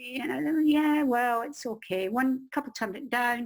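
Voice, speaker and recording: A woman with a Scottish accent, high in pitch, with ordinary pitch variation. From Scotland. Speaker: crime novelist and publishing expert. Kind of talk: interview, personal story. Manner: animated.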